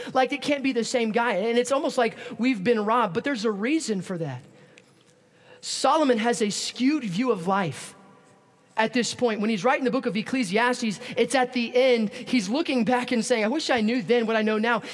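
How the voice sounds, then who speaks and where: A man's extremely high-pitched voice with ordinary pitch variation at a fairly quick pace, amid noticeable background noise. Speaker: preacher. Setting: church service. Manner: fast talker.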